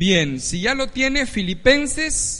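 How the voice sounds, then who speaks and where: Speaking very slowly, a man lets his pitch swing very widely while the room echo stays audible. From Ecuador. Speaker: pastor. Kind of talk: sermon.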